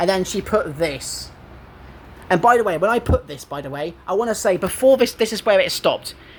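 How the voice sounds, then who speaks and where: This man talks in a high pitch with an English accent, his animated tone and lively intonation carried by big swings in loudness. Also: fairly quick pace. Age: 20s. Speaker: gaming YouTuber. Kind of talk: casual chat.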